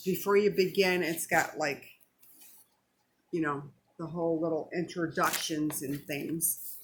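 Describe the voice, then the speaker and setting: Her pace is fairly slow, with long pauses coming often. The woman's pitch is fairly low. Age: 60s. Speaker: vlogger sharing weight loss journey. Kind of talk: casual vlog talk to camera. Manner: chatty, animated.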